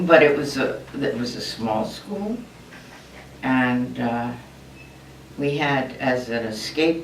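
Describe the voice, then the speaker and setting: Through noticeable background noise and audible room echo, a woman speaks with an American accent. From US, Maryland Eastern Shore. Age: 80s+. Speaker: retired nurse consultant. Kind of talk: oral history interview. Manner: halting.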